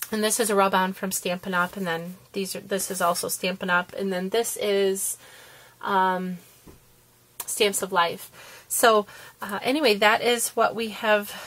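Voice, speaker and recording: An unremarkable speaking voice from a woman, medium in pitch, fairly slow, with fairly even intonation. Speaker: papercraft video maker. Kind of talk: tutorial.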